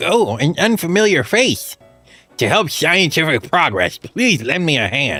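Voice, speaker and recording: A man puts on a character voice, pitched high, with very wide swings in pitch. Faint music plays in the background. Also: moderate pace. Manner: nerdy, eager.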